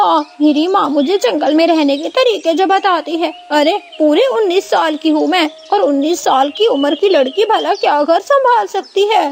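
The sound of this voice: In a cartoonish character voice, a woman speaks at an extremely high pitch and a moderate pace. Background noise is clearly heard.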